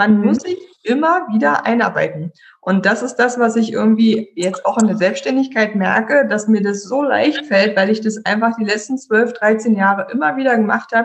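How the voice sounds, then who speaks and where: A woman's somewhat breathy voice, fairly high in pitch, with lively intonation at a moderate pace. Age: 30s. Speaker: IT consultant. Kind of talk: casual chat. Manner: animated.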